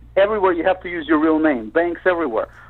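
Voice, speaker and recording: A man with a Russian accent talks at a fairly high pitch. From Soviet Union. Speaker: panelist. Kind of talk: casual chat.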